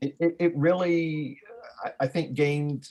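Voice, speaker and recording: Fairly even intonation in a man's somewhat breathy voice. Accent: Southern US. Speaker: physics instructor, presenter. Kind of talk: video call discussion. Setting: video call.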